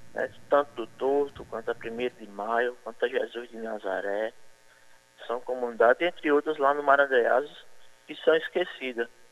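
A man speaks in a plain, everyday voice at a medium pitch with ordinary pitch variation. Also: fairly slow pace, big swings in loudness. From Bayeux, Paraíba, Brazil. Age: 30s. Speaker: mayoral candidate. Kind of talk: radio interview.

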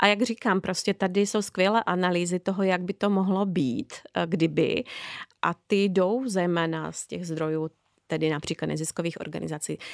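A woman with a plain, everyday voice speaks at a moderate pace, with a fairly low pitch and ordinary pitch variation. The very clean recording has a silent background and a dry, close sound with no echo. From Slovakia. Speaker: social anthropologist. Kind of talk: interview.

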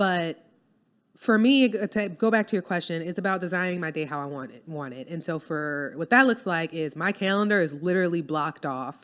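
A woman speaks fairly quickly in a fairly low pitch, with lively intonation and big swings in loudness. The recording is very clean, with a silent background. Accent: New Orleans. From US South, New Orleans. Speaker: copywriter and business owner. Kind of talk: casual interview chat.

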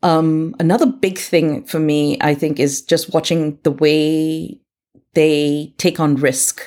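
A woman speaks at a very slow pace. Her pitch is very deep and low, her tone dark and mellow. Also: ordinary pitch variation. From India and England (born in Uganda). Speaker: author and parenting coach. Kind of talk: podcast interview.

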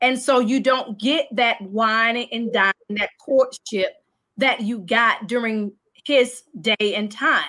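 Slow-ish and high-pitched, a woman speaks in a bright, sharp tone with ordinary pitch variation. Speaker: panelist on talk show. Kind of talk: casual panel discussion. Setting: video call live show.

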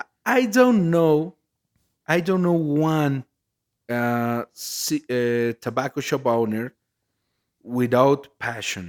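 Very slowly and with long, frequent pauses, a man with a Mexican accent speaks at a fairly high pitch with lively intonation. The recording is very clean, with a silent background. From Mexico, Jalisco. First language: Spanish. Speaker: cigar blender and company co-founder. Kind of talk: podcast interview. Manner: halting, repeats words while searching for English.

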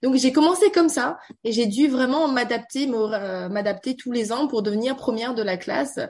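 Moderate-paced speech from a woman, high in pitch and lively in intonation. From Beijing, China (French schooling). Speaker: tech community founder and banker. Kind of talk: radio interview. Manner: halting, many fillers.

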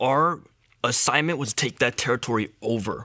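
A man with a bright, sharp tone and a medium pitch speaks in a very clean recording with a silent background. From Malaysia. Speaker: testimony speaker, former gang member. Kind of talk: testimony. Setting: church. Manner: halting, with repeated words.

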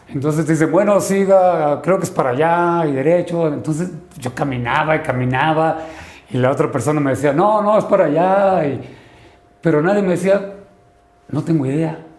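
Audible room echo surrounds a man whose fairly high voice moves at a moderate pace with ordinary pitch variation. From Sinaloa, northern Mexico. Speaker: lawyer and novelist. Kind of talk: interview.

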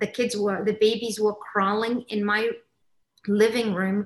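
In monotone, flat intonation, a woman speaks at a fairly high pitch. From Kenya, Somali family. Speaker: mindfulness facilitator. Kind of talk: casual chat.

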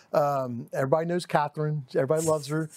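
In a very clean recording with a silent background, a man with a Texan accent speaks at a fairly high pitch. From East Dallas, Texas. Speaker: title company director. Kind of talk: casual interview.

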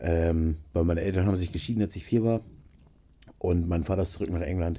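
The voice is somewhat breathy with a dark, mellow tone. The pace is very fast. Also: man. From northern Germany, Nienburg (Lower Saxony). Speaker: musician and gamer. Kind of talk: casual chat. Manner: animated.

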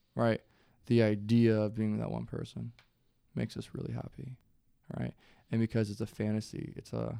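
A man talks at a moderate pace. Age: 20s. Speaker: college student and musician. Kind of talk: casual chat.

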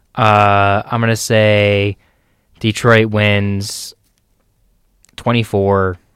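A man with a fairly low voice speaks at a very slow pace in a monotone, flat delivery, leaving long, frequent pauses in a very clean recording with a silent background. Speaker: sports co-host. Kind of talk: casual chat. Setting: studio.

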